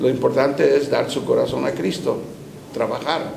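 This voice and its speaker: Speaking fairly slowly, this man is heard through noticeable background noise and echo from the room. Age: 70s. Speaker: bishop and pastor. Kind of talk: interview.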